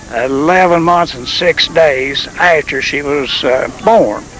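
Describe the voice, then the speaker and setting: With a Tennessee Valley accent, a man talks at a fairly high pitch with ordinary pitch variation, against noticeable background noise. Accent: Southern US (Tennessee Valley). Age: 70s. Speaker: retired preacher. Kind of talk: interview.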